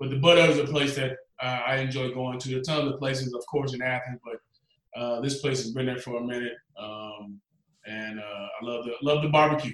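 A man with a Southern US accent, fairly quick pace and fairly even intonation. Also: medium pitch for a man. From US South, Georgia. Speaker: former quarterback and football analyst. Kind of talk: casual interview.

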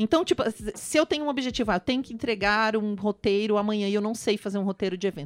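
A woman talks at a very fast pace with a fairly high pitch. Her intonation is lively. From Brazil, raised in many regions. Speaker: actress. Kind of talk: casual chat.

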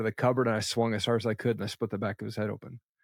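On a very clean recording with a silent background, a man speaks at medium pitch. The sound is dry and close with no echo. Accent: American. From Eastern Washington State, US. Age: 40s. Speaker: entrepreneur and podcast host. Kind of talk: interview.

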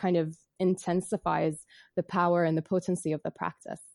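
A woman's dark, mellow voice moves at a fairly quick pace, with a dry, close sound with no echo. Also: quiet background. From Bahrain. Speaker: yoga teacher and psychotherapist. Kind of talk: interview.

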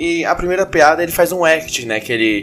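A man with an ordinary speaking voice talks at a moderate pace, his intonation lively. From Brazil, Goiânia. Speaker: aspiring comedian and podcast host. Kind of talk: comedy analysis podcast monologue.

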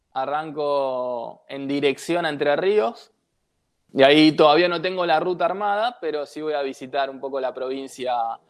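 Speaking in an unremarkable speaking voice, a man with a fairly high pitch uses lively intonation. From Buenos Aires, Argentina. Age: 30s. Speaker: traveller and former beach footballer. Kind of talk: interview.

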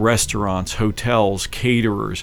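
Over noticeable background noise, a man with an American accent speaks at a fairly low pitch with ordinary pitch variation. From Philadelphia, South Philly. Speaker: political candidate. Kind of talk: radio interview. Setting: radio studio.

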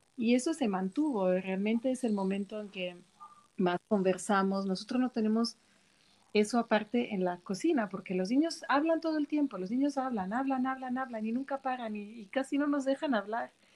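A plain, everyday voice, its intonation lively, talks at a moderate pace. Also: woman, fairly high pitch for a woman. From Switzerland. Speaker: cook. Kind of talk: casual chat.

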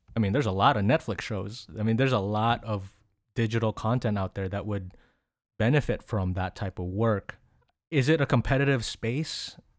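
A man with a Filipino accent speaks at a medium pitch and a moderate pace, with ordinary pitch variation. The recording is very clean, with a silent background. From Philippines. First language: Tagalog. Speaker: podcast host. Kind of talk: casual interview.

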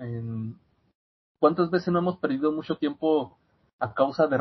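A man speaks at a fairly slow pace with a fairly high pitch. His voice is somewhat breathy, with ordinary pitch variation. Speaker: student and podcast guest. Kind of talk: casual chat. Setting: video call.

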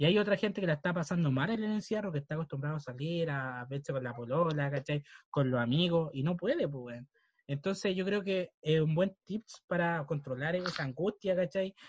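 A man speaks with a Chilean accent. The sound is dry and close, with no echo. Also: fairly high pitch for a man, ordinary pitch variation, moderate pace, quiet background. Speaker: podcast co-host. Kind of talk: casual chat.

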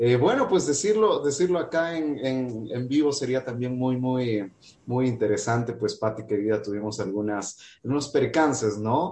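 A man speaks fairly slowly in a medium-pitched, dark and mellow voice. His intonation is lively. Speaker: radio interview host. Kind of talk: interview. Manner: hesitant with filler words.

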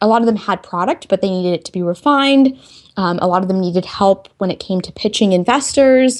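Speaking with an American accent, a woman goes at a very fast pace. Her intonation is lively, with big swings in loudness. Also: medium pitch for a woman. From Texas. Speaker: tech entrepreneur and engineer. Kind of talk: interview.

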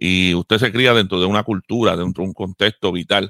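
A man with an ordinary speaking voice talks at a fairly quick pace, his pitch varying in an ordinary way. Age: 50s. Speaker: pastor and radio co-host. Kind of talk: radio talk show discussion.

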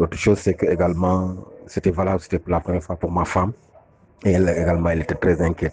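In a very deep, low, somewhat breathy voice, a man talks at a very fast pace with monotone, flat intonation. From Senegal. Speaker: father giving testimony. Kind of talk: testimony.

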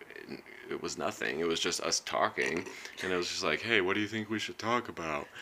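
A man with a plain, everyday voice talks at a fairly low pitch with ordinary pitch variation. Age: 30s. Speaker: podcast host. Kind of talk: casual chat.

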